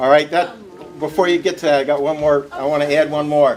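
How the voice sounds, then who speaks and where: A loud male voice through noticeable background noise. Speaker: town supervisor, local official. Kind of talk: public meeting remarks. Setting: firehouse meeting with audience, wireless mic.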